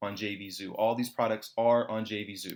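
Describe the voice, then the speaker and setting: The recording is very clean, with a silent background. A man speaks at a medium pitch in an animated tone. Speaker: online marketing promoter. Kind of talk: sales pitch. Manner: fast.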